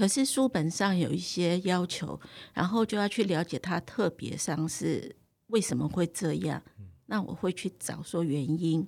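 In a very clean recording with a silent background, a woman speaks at a fairly slow pace with a fairly low pitch, ordinary pitch variation, and vocal fry. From Taiwan. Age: 60s. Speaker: cooking teacher. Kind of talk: interview.

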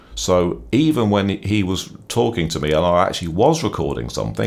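A man with a very deep, low pitch makes very wide pitch swings against noticeable background noise. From England, Norwich. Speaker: biographer and former journalist. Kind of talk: interview. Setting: studio.

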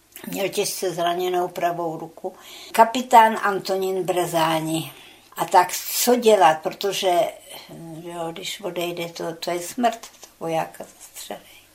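Her voice is fairly low and very slow, with big swings in loudness. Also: fairly even intonation. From Czechia, Česká Třebová; childhood in Soviet Union. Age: 90s. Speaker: war veteran, eyewitness. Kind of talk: oral history interview. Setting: her flat.

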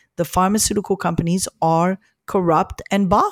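A woman with an unremarkable speaking voice talks at a medium pitch and moderate pace, the sound dry and close with no echo on a very clean recording with a silent background. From Morocco, then Montreal, Canada. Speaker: gastroenterologist and researcher. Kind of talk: interview.

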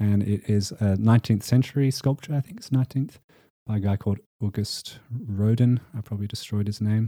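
The speaker talks at a fairly quick pace with an Australian accent, in a dark, mellow tone and fairly even intonation. The recording is very clean with a silent background, and the sound is dry and close with no echo. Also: man, fairly low pitch for a man. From Western Australia. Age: 20s. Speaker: singer-songwriter. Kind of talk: casual interview chat.

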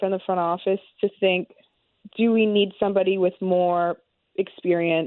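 Here is a woman with an ordinary speaking voice and a medium pitch. She talks at a fairly slow pace. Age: 30s. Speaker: baseball reporter. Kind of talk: sports talk radio interview.

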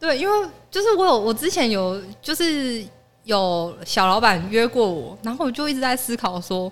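At a moderate pace, a woman speaks at a fairly high pitch with very wide pitch swings. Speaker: office worker. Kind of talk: casual chat.

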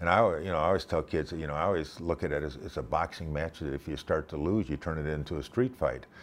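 The speaker goes very fast with hardly any pauses, with vocal fry and ordinary pitch variation. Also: man, very deep, low pitch for a man. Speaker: former pro football player. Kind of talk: casual interview. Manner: halting, many fillers.

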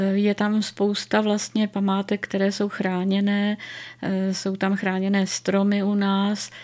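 A very slow, monotone woman's voice at medium pitch, flat in intonation and very even in loudness. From Ostrava region, Czech Republic. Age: 70s. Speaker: retired literature professor and magazine editor. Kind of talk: radio interview.

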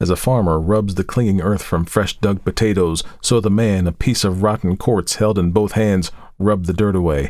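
The text is read aloud. The reading voice is natural.

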